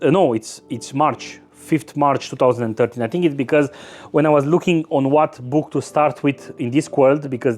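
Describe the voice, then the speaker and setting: In a Romanian accent, a man talks at a moderate pace with a fairly high pitch. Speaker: book youtuber. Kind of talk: casual monologue. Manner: halting, many repetitions and fillers.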